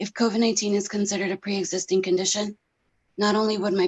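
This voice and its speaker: Speaking fairly quickly in an American accent, a woman keeps a monotone, flat intonation. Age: 30s. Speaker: pharmacy technician and patient. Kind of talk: testimony. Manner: formal.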